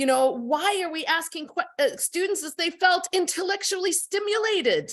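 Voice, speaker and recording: A woman speaks with a bright, sharp tone. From outside the UK. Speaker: university lecturer. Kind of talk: seminar discussion contribution. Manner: animated.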